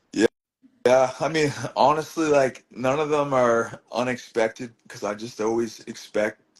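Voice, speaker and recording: Here a man speaks with a Maritime Canadian accent. His pace is moderate, with ordinary pitch variation. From Truro, Nova Scotia, Canada. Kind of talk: interview answer. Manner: casual, rambling.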